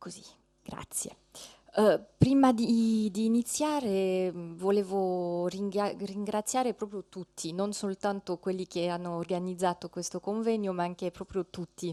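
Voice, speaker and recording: A fairly slow, French-accented delivery with ordinary pitch variation, big swings in loudness, a dry, close sound with no echo and a quiet background. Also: woman, medium pitch for a woman. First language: French (speaking Italian). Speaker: ethnologist, lecturer. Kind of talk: conference talk. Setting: conference hall, seated with slides. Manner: halting, many fillers.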